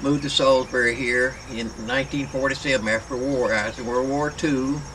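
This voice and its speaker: With a North Carolina accent, a man speaks at a fairly quick pace in a monotone, flat intonation over noticeable background noise. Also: medium pitch for a man. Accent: US Southern (North Carolina). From North Carolina, Rowan County. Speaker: retired firefighter. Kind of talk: oral history interview. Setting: at home. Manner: halting, repetitive.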